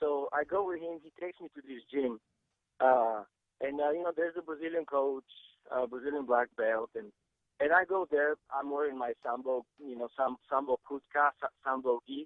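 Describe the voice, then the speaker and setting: A man with a Bulgarian accent speaks at a moderate pace in a fairly high pitch, with ordinary pitch variation and big swings in loudness. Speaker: Sambo champion and grappling coach. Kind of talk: podcast interview. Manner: halting, many fillers and repeats.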